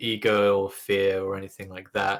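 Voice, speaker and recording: A man with a British accent. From England. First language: Russian. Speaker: gamer. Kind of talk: interview.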